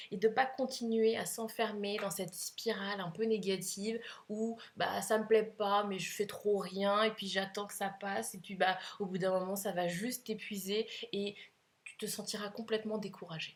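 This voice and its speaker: A woman's medium-pitched voice moves along at a moderate rate. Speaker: couples coach. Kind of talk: advice monologue to camera. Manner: hesitant fillers.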